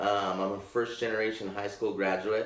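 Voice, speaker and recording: A man with a Pacific Northwest accent speaks at a moderate pace with a fairly low pitch. His intonation is flat and monotone, and audible room echo is present. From Portland, Oregon. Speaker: scholarship program administrator. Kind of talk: panel interview.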